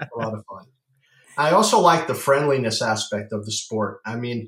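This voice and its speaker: This is a man talking. He has an unremarkable speaking voice. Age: 50s. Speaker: pickleball paddle company founder. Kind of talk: casual interview.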